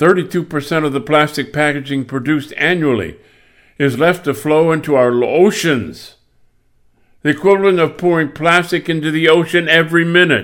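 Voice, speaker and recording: Recorded very cleanly against a silent background, a man with an American accent talks at a moderate pace in a fairly high pitch with ordinary pitch variation. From US Midwest (Michigan). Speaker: podcast host and singer. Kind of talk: solo monologue on environment.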